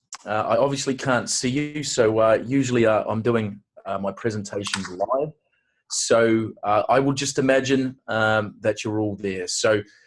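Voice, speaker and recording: A man's medium-pitched voice with a New Zealand accent, at a fairly slow pace and with ordinary pitch variation. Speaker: aesthetic industry consultant and awards host. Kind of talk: webinar presentation. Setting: online webinar.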